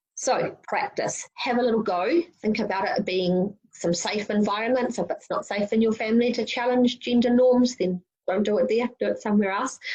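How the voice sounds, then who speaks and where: A woman talks in a somewhat breathy voice with fairly high pitch. Her pitch variation is ordinary. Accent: New Zealand. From New Zealand (Wellington). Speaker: youth summit speaker. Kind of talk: prerecorded presentation. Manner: fast.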